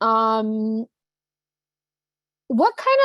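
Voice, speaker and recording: In a New Jersey accent, a woman's voice makes very wide pitch swings. The sound is dry and close, with no echo. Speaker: trainer. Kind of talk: online training session. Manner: casual, many fillers.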